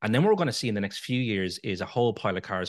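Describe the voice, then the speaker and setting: A man in a Dublin accent talks at a very fast pace with a dry, close sound, no echo and a quiet background. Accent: Dublin Irish. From Ireland, Dublin. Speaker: EV owners association chairman. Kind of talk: interview.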